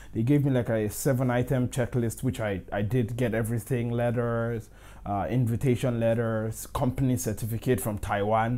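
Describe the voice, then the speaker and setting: In a dark, mellow tone, a man with a medium pitch speaks at a moderate pace in a monotone, flat way with hardly any pauses. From Nigeria. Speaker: tech YouTuber. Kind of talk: casual storytelling.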